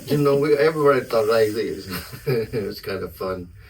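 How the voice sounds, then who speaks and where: At a moderate pace, a man talks in a medium pitch over noticeable background noise. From South Texas, near Brownsville. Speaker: musician. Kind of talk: casual chat.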